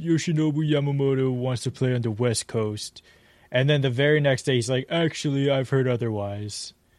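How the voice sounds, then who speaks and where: A man with a plain, everyday voice and an American accent speaks at a moderate pace, fairly high in pitch, with ordinary pitch variation and very even loudness. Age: 20s. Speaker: sports podcast host. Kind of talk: casual chat.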